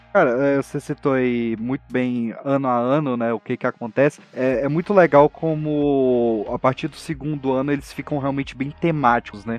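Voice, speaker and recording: In an ordinary speaking voice, a man talks at a moderate pace and medium pitch, with fairly even intonation and hardly any pauses. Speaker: podcaster guest. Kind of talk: casual chat.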